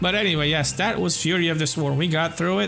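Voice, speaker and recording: A man speaks with music playing in the background. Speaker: gaming YouTuber. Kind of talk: gameplay commentary. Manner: quiet.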